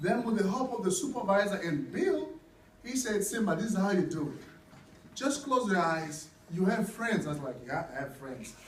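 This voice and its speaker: Lively intonation from a male speaker, with audible room echo and noticeable background noise. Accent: African. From Africa. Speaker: nurse and coffee seller. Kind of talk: testimony. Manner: casual, halting.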